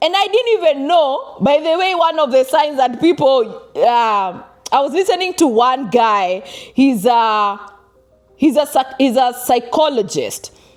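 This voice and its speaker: Over music in the background, a woman with a Kenyan accent speaks in an animated tone at a high pitch. Her pitch swings very widely, while her loudness stays very even. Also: fairly slow pace. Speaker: vlogger. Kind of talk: personal advice vlog.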